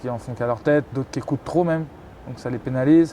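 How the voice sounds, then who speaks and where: A man talks with fairly even intonation. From Paris region, France. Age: 20s. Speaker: professional handball player. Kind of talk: interview. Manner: hesitant, many fillers and repetitions.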